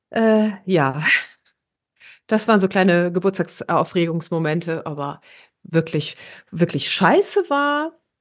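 At a very slow pace, a woman with a fairly low pitch speaks with lively intonation and long, frequent pauses. The background is quiet. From Ruhr area, Germany (Herne). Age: 40s. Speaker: podcast co-host. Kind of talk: casual chat.

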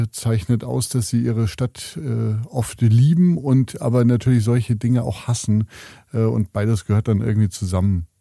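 A dark, mellow tone carries through the clip, and its pitch moves in an ordinary way. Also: man. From Munich, Bavaria. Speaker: newspaper editor-in-chief. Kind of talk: interview. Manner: hesitant, many fillers.

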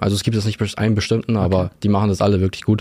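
Dark and mellow in tone, a man speaks at fairly low pitch in a flat monotone. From Lower Bavaria (Straubing area). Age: 20s. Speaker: ice hockey player. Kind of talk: interview.

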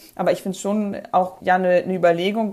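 At a fairly quick pace, a woman speaks at a medium pitch in a plain, everyday voice. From northern Germany, Bremen. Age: 20s. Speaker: politician. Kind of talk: debate.

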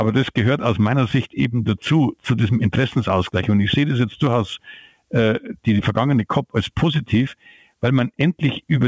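With ordinary pitch variation and a moderate pace, this voice comes across somewhat breathy. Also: man. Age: 60s. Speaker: climate economist, professor. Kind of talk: interview. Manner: hesitant with fillers.

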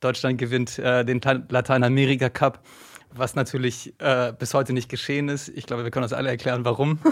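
A man talks fairly quickly in a monotone, flat delivery on a very clean recording with a silent background. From Argentina. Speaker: government communications officer. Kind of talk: casual chat. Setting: studio.

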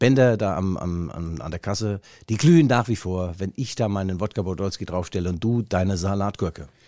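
A man's fairly low, dark, mellow voice at a moderate pace with ordinary pitch variation, in a very clean recording with a silent background. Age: 50s. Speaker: football journalist and podcast co-host. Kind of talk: casual chat. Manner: animated.

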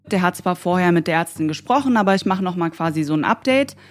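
A woman's voice with music in the background. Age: 20s. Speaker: dental assistant trainee. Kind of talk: interview testimony.

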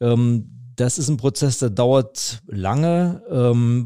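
This very clean recording has a silent background. A man at medium pitch speaks with ordinary pitch variation and a dark, mellow tone. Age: 50s. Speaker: vascular surgeon, chief physician. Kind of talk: expert interview. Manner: hesitant with many fillers.

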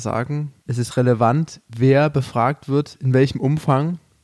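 Speaking at a fairly slow pace, a man uses monotone, flat intonation. The recording is very clean, with a silent background. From Saxony, eastern Germany. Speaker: podcast host. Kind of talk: casual chat.

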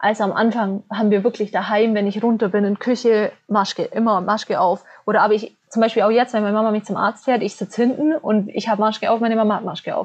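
Very fast, somewhat breathy speech from a woman, fairly high in pitch with fairly even intonation. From Bavarian Swabia, southern Germany. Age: 20s. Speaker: business student and cancer patient. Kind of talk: interview, personal testimony.

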